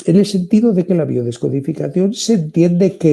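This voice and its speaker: A man with a Spanish accent and a dark, mellow, somewhat breathy tone speaks at a moderate pace with very wide pitch swings. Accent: Spanish (Spain). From Spain. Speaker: therapist and author. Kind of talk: interview.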